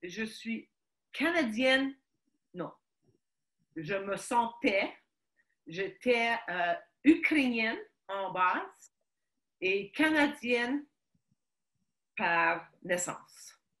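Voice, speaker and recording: A woman's fairly high, very slow voice with very wide pitch swings and long, frequent pauses. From Quebec, Montreal (Ukrainian family). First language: Ukrainian (speaking French). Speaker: guest sharing life story. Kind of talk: interview testimony. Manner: halting, many hesitations.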